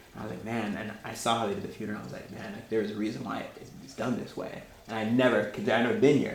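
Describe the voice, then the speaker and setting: Very fast male speech with hardly any pauses, ordinary pitch variation and big swings in loudness, amid audible room echo and noticeable background noise. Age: young. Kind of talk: talk with discussion. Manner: casual, halting.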